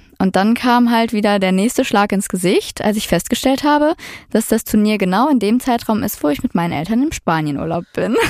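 A woman with a plain, everyday voice talks fairly quickly at a fairly high pitch, her intonation lively and her loudness very even, in a very clean recording with a silent background. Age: 20s. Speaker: product manager telling her dating story. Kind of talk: storytelling interview.

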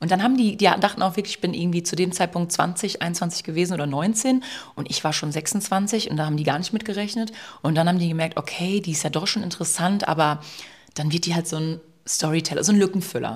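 A woman speaks very fast in a somewhat breathy voice. Her pitch is fairly low, with ordinary variation. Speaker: social media influencer, podcast co-host. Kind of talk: casual chat. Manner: fast, stumbles over words.

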